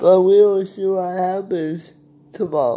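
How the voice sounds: The voice has a dark, mellow tone and a slow pace. Audible room echo surrounds it. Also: man.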